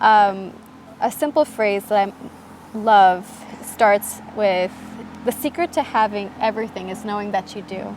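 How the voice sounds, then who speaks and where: Speaking with an American accent, a woman keeps a fairly slow pace with long, frequent pauses and big swings in loudness. Her pitch is medium with ordinary variation, and noticeable background noise runs underneath. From US Midwest, Michigan. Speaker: podcast guest. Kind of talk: casual interview chat.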